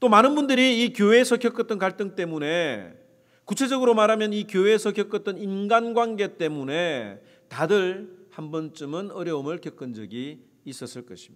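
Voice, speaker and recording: A man speaks with a slight Gyeongsang accent at a moderate pace and high pitch, his intonation lively. His loudness swings widely in a very clean recording with a silent background. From South Korea, Gyeongsang. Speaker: pastor. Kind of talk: sermon.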